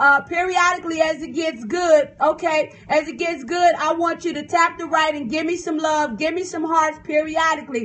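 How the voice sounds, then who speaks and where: A woman with an American accent speaks at a moderate pace with an extremely high pitch, hardly any pauses and an animated tone. Her loudness swings widely. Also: ordinary pitch variation. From US South. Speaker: preacher and author. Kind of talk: livestream sermon. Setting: phone livestream. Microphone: phone stream freezing.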